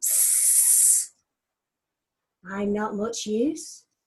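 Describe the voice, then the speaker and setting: A woman's put-on character voice, very slow and hissing, with very wide pitch swings. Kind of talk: children's story, rhyming. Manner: hissing, sly.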